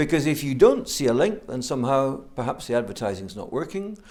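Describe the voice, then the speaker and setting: This man speaks with a Scottish accent. His intonation is lively. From Scotland. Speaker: business school program director. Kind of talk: interview.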